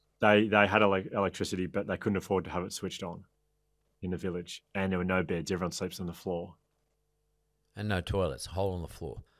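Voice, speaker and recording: With a quiet background, a man with a very deep, low pitch talks at a very fast pace in a monotone, flat intonation, broken by long, frequent pauses. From Australia (Melbourne). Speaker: author and resilience speaker. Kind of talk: interview storytelling. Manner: halting. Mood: animated, reflective storytelling. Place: home room. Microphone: studio mic.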